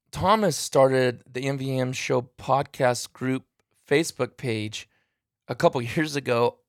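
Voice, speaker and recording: A man talks at a medium pitch with ordinary variation, recorded very cleanly against a silent background with a dry, close sound and no echo. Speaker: podcast host, duck hunter. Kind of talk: casual chat. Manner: fast.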